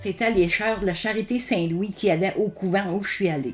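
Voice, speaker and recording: In a Quebec accent, a woman speaks at a moderate pace and medium pitch. Her voice is somewhat breathy, with ordinary pitch variation. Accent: rural Quebec French. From Quebec, Bellechasse region. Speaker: elder sharing life memories. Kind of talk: oral history interview. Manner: hesitant, many fillers and repetitions.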